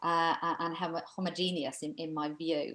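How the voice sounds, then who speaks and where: The speaker has a Welsh accent. The pace is moderate. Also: woman. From Wales, Aberystwyth, Mid Wales. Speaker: coach and speaker on cultural bias. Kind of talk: webinar presentation Q&A.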